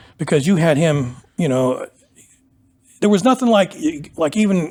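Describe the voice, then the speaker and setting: A man with an American accent, high in pitch, at very even loudness, with music in the background. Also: lively intonation, moderate pace. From Pennsylvania, US. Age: 60s. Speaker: powerlifter. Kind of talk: interview. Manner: casual, conversational.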